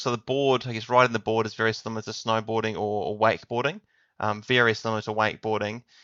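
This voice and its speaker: Here a man talks at a very fast pace. He speaks with a New Zealand accent. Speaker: tech consultant. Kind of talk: podcast interview.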